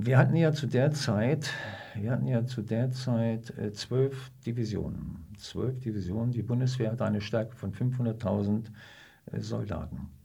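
A man with vocal fry speaks at a fairly slow pace, medium pitch and ordinary pitch variation. His tone is dark and mellow, with audible room echo. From northern Germany, Hannover. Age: 70s. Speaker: retired army officer. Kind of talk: interview, personal recollection. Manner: halting, with many fillers.

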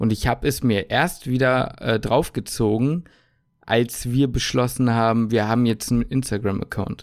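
A plain, everyday voice: a man at a medium pitch and fairly slow pace, on a very clean recording with a silent background. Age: 20s. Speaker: podcast host, medical student. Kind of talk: casual chat. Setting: home kitchen.

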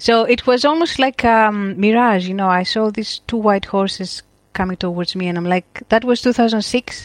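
Here a woman speaks with a Greek accent at a fairly slow pace. The sound is dry and close with no echo, and her pitch varies in an ordinary way. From Crete, Greece. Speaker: photographer and educator. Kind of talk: casual interview chat.

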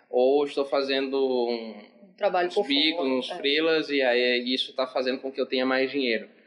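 A man talks at a moderate pace in a plain, everyday voice at a medium pitch. His pitch variation is ordinary, while his loudness swings widely. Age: 20s. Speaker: psychologist. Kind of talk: casual chat.

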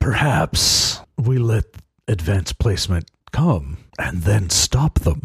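A man puts on a character voice. He talks at a fairly slow pace with a fairly low pitch. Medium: actual play.

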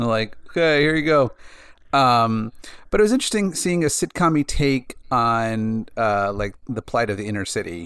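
Speaking at a moderate pace, a man with an ordinary speaking voice and a medium pitch uses lively intonation. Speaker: podcast co-host. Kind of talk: casual chat.

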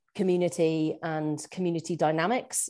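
In a West Midlands accent, a woman speaks at a fairly low pitch with a dark, mellow tone. The background is quiet. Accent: English West Midlands, noticeable in Scotland. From Shropshire, England. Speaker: farmer and PhD student. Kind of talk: casual interview.

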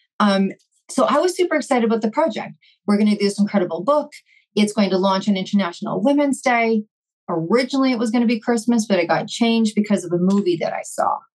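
Somewhat breathy and very fast, a woman speaks with a Canadian accent at a fairly high pitch and with lively intonation. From Vancouver, Canada. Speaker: entrepreneur. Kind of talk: casual chat.

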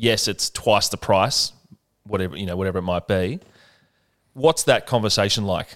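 In an Australian accent, a man speaks in a fairly low voice with long, frequent pauses. The sound is dry and close with no echo, a very clean recording over a silent background. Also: ordinary pitch variation, moderate pace. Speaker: podcast host. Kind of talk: casual interview chat. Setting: on location in a bar.

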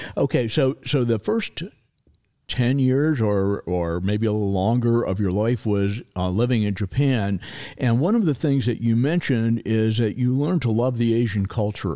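The recording is very clean, with a silent background. A man with a dark, mellow tone speaks at a moderate pace with ordinary pitch variation. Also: medium pitch for a man, very even loudness. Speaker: podcast host. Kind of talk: interview. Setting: studio. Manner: lively.

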